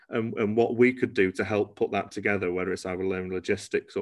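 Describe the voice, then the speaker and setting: Fairly low male voice, flat and monotone, at a moderate pace in a quiet background. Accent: Cheshire. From northern England, Cheshire (Congleton). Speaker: genetics testing company founder. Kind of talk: interview. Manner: hesitant, many fillers.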